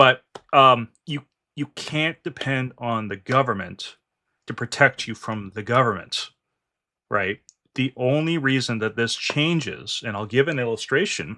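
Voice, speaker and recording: At a fairly slow pace and with a Canadian accent, the speaker has a bright, sharp tone and ordinary pitch variation, recorded very cleanly against a silent background. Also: man. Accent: Canadian accent, noticeable. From Canada. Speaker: finance and politics channel host. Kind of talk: political discussion with a guest.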